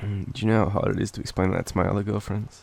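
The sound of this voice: Fast speech in an Australian accent with vocal fry, a slightly mellow tone, and little pitch movement. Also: man, fairly low pitch for a man.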